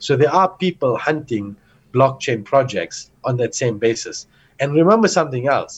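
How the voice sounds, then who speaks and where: A man speaks at a moderate pace and a medium pitch. His voice is somewhat breathy. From South Africa (Johannesburg). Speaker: entrepreneur and investor. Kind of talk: casual interview.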